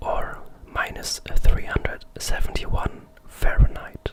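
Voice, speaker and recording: At a very slow pace, someone whispers while noticeable background noise carries on. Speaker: ASMR creator. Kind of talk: ASMR fact narration. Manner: whispered.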